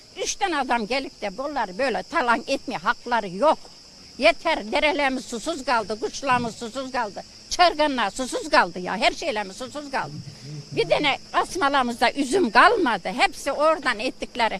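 The tempo is moderate. Pitch rises and falls over a very wide range. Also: woman, high pitch for a woman. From Muğla, Turkey. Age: 70s. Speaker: villager protesting tree felling. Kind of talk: interview answer. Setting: outdoors.

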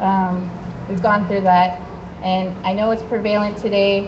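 Noticeable background noise accompanies a woman talking in a medium pitch. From Canada, British Columbia (Haida First Nation); British Columbia, Canada. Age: young. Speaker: activist speaker at a rally; speaker. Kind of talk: public speech. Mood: calm, conciliatory. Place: street.

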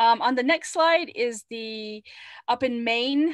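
Speaking at a fairly slow pace, a woman with an American accent has a high pitch and ordinary pitch variation. Her background is quiet. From Navajo Nation, northern Arizona; Arizona. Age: 40s. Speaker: webinar presenter. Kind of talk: webinar presentation. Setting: video call. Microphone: video call.

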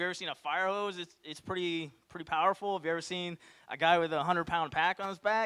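The background stays quiet. A man talks fairly quickly, his pitch varying in an ordinary way. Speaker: presenter. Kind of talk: Q&A answer to audience. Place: hall. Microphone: handheld.

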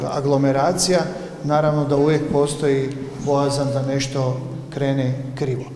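With light background noise and audible room echo, a man speaks at a moderate pace in a monotone, flat intonation. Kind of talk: interview answer. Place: hall. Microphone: handheld.

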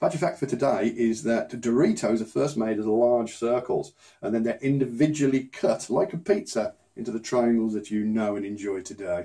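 A man with a British accent at a moderate pace, lively intonation, and a quiet background. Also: medium pitch for a man. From UK. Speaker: unboxing YouTuber; unboxing channel host. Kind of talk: casual unboxing vlog; casual vlog chat. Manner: subdued, less enthusiastic than usual; hesitant, many fillers.

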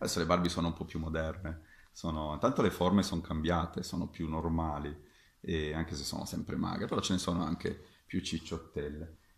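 A somewhat breathy voice with fairly even intonation, at a moderate pace, amid audible room echo. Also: man. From Sicily, Catania. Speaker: fencing master. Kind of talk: video talk to camera. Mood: friendly, animated. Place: home room. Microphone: webcam.

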